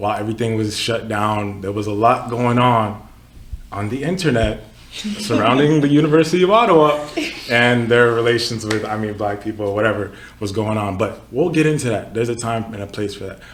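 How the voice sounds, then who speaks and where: A man talks at a fairly quick pace in a medium pitch, with an animated tone and ordinary pitch variation. Noticeable background noise and audible room echo come through. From Texas (Katy), born in Nigeria. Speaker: podcast host, student association member. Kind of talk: casual podcast chat. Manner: casual, animated.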